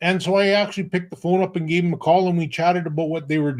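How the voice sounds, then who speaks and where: In a western Canadian accent, the voice keeps fairly even intonation in a very clean recording with a silent background. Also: man. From Alberta, Canada. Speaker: online business owner. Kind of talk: interview. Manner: halting.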